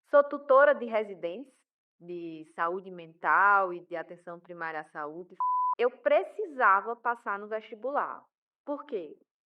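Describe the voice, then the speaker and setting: The speaker has a strong Paraíba accent and a fairly slow pace. Pitch swings very widely, and loudness swings a lot too. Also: woman, medium pitch for a woman. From Paraíba, northeast Brazil. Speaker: pharmacist and professor. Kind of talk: podcast interview.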